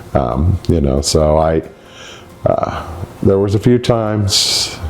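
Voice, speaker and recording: A man talks with ordinary pitch variation. Noticeable background noise runs underneath. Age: 60s. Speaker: patient giving testimonial. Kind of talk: testimony. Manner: halting.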